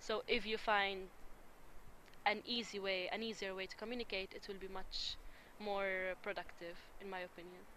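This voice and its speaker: A woman with an Arabic accent speaks at medium pitch and a moderate pace, in a bright, sharp tone. Her intonation is monotone and flat, with long, frequent pauses. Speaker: interviewee on intercultural dialogue. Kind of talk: interview.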